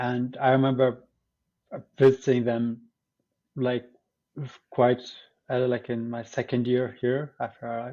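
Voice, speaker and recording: A man with an Arabic accent, medium pitch, monotone, flat intonation, a fairly slow pace and long, frequent pauses. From Syria. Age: 20s. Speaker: teacher education student. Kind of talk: podcast interview. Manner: hesitant, many fillers.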